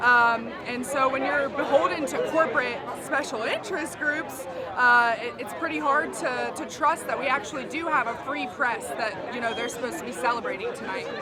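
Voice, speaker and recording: At a moderate pace and with ordinary pitch variation, the voice carries audible room echo over crowd noise in the background. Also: woman, high pitch for a woman. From West Virginia. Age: 20s. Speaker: climate activist. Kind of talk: street interview.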